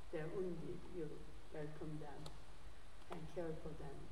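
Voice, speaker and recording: Audible room echo and light background noise surround a woman speaking at a fairly low pitch. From South Korea. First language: Korean. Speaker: theology professor and guest preacher. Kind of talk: sermon. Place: church.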